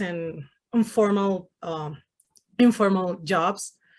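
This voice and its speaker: Speaking very slowly with a Spanish accent, a woman keeps a medium pitch and fairly even intonation. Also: very clean recording, silent background. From Venezuela. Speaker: Spanish-speaking correspondent. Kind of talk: interview.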